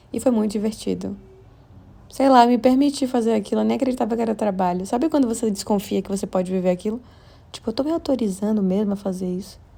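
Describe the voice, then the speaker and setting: Dark and mellow in tone, the woman's voice shows ordinary pitch variation. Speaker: podcast host. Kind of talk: casual monologue. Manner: fast.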